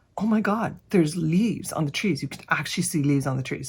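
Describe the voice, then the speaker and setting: On a very clean recording with a silent background, a woman speaks with vocal fry and ordinary pitch variation. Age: 50s. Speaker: makeup vlogger. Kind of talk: casual talk to camera.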